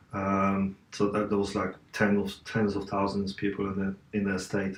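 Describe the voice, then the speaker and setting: A man with an Eastern European accent speaks in a fairly low pitch and a monotone, flat intonation. Noticeable background noise runs behind him. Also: moderate pace. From Poland, Katowice. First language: Polish. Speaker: interview guest, fitness personality. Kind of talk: interview. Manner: halting.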